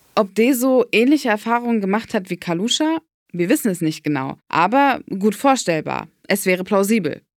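A woman speaks at a medium pitch and a moderate pace, her pitch swinging very widely. The recording is very clean, with a silent background. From Berlin. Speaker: podcast host, narrator. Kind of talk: scripted narration.

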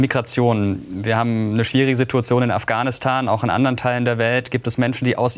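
A fairly quick pace from an unremarkable speaking voice. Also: man. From Karlsruhe, Baden. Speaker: youth interviewer. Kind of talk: political interview. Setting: studio.

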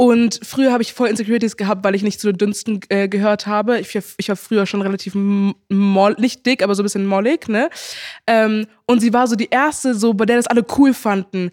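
A woman's normal speaking voice, fairly high in pitch, with fairly even intonation at a moderate pace, in a very clean recording with a silent background and a dry, close sound with no echo. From Germany, Heidelberg. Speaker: social media influencer. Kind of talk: casual chat.

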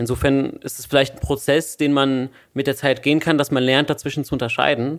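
Fairly quick in pace, a man speaks with a fairly high pitch. His intonation stays monotone and flat. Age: 20s. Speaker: podcast host, student. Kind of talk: casual chat.

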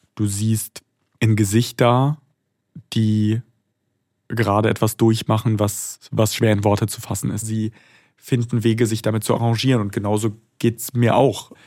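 A man's medium-pitched voice with a dark, mellow tone, flat monotone intonation, moderate pace and long, frequent pauses. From Germany. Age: 20s. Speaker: foreign correspondent. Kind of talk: interview.

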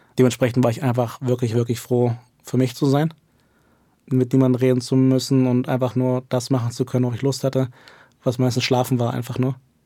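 Speaking at a fairly quick pace, a man uses a medium pitch and a dark, mellow tone with flat, monotone intonation. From Germany. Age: 20s. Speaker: esports coach. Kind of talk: interview.

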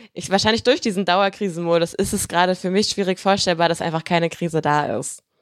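Dry, close sound with no echo on a very clean recording with a silent background. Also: woman. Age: 20s. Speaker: online video presenter. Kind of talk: casual chat.

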